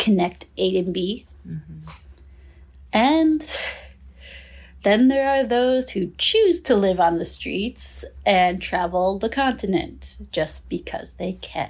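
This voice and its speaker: On a very clean recording with a silent background, a woman with an American accent talks at a very slow pace. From southern Minnesota, US. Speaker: trafficking survivor. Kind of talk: personal testimony interview.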